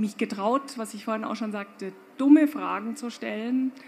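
With a somewhat breathy quality, a woman's fairly high voice shows ordinary pitch variation. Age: 50s. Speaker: fashion company owner. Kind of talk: panel discussion. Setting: stage with audience.

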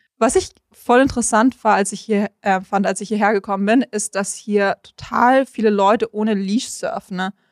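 A woman's normal speaking voice, fairly high in pitch, at a moderate pace with hardly any pauses and fairly even intonation, on a very clean recording with a silent background and a dry, close sound with no echo. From Munich, Germany. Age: 20s. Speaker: content creator and surfer. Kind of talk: casual interview. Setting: on location by the coast highway.

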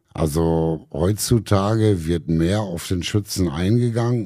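With a very deep, low pitch and a dark, mellow tone, a man speaks at a fairly slow pace. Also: very clean recording, silent background. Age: 50s. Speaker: soldier and shooting instructor. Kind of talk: casual interview.

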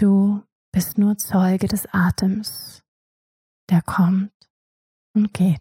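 The speaker has a calm tone and a very slow pace, broken by long, frequent pauses. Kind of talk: guided meditation. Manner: slow, soft, calm, hypnotic pacing with long pauses.

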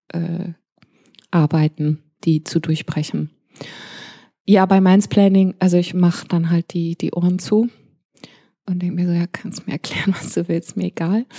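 Somewhat breathy and fairly low, this woman's voice has a dark, mellow tone and fairly even intonation. She goes at a fairly slow pace with long, frequent pauses. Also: dry, close sound with no echo. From grew up abroad: Pakistan, India, Malaysia. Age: 40s. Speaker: DJ. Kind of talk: interview.

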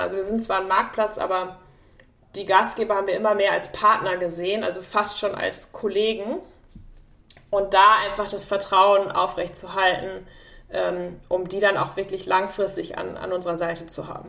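At a moderate pace, a woman with a medium-pitched voice speaks with fairly even intonation, leaving long, frequent pauses. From Germany, Münster area. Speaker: tech executive. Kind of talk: interview.

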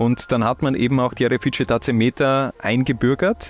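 A man's ordinary speaking voice at a medium pitch, with ordinary pitch variation and a dry, close sound with no echo. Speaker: football podcast host. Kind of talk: casual chat.

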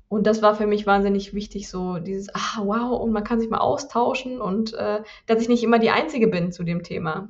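Moderate pace with hardly any pauses and ordinary pitch variation, over noticeable background noise. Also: woman, fairly high pitch for a woman. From southern Germany. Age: 40s. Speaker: yoga teacher. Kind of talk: interview.

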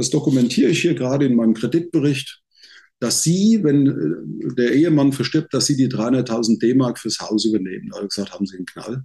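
A man with a dark, mellow tone talks at a fairly quick pace, his medium pitch carried by lively intonation. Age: 60s. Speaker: sales trainer. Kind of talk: casual interview. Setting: video call. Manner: animated.

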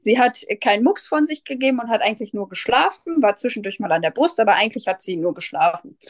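A woman speaks at a very fast pace with hardly any pauses, her fairly high pitch swinging very widely, in a dry, close sound with no echo. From Germany, Westphalia near Soest. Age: 30s. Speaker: first-time mother. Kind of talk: interview. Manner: hesitant, many fillers.

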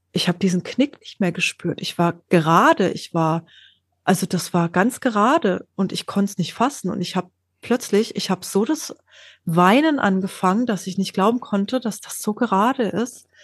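With lively intonation and a medium pitch, a somewhat breathy woman talks at a moderate pace, the sound dry and close with no echo over a quiet background. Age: 40s. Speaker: scoliosis patient sharing her story. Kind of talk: interview, personal story.

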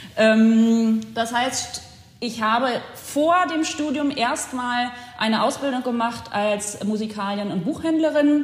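The speaker talks very slowly with ordinary pitch variation amid noticeable background noise and audible room echo. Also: woman, fairly high pitch for a woman. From Germany, Potsdam. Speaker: cultural institute director. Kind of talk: interview. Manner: frequent fillers (äh, ähm).

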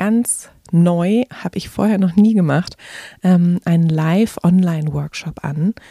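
A woman speaks at a very slow pace in a gentle, calm tone that is also dark and mellow, somewhat breathy, with ordinary pitch variation and a dry, close sound with no echo. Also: fairly low pitch for a woman. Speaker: podcast host and meditation guide. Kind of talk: guided meditation. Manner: slow, calm, soothing; gentle, soft-spoken, with pauses.

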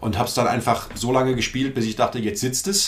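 The pace is fairly quick, with ordinary pitch variation. It is a normal speaking voice. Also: man. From Frankfurt am Main, Hesse. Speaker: cabaret artist and author. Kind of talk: casual interview chat.

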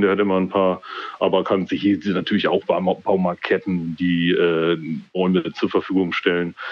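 A man's very deep, low voice at a moderate pace, with very even loudness. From East Frisia, northern Germany. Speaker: guest with a home building project. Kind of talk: casual chat. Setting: phone call.

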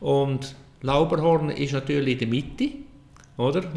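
A man with a Central Swiss accent, a medium pitch and ordinary pitch variation, over noticeable background noise. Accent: Nidwalden Swiss German dialect. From Switzerland, canton of Nidwalden. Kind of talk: casual interview.

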